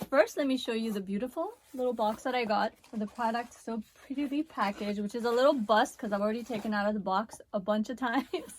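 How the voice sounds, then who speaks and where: A woman speaks at a fairly quick clip in a fairly high voice, her tone animated and her pitch varying in an ordinary way, with noticeable background noise behind her. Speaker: beauty vlogger. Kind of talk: product review.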